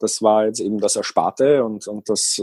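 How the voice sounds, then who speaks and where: The sound is dry and close, with no echo. A man talks at a very slow pace. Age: 30s. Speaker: van-dwelling traveller and seasonal worker. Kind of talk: casual interview.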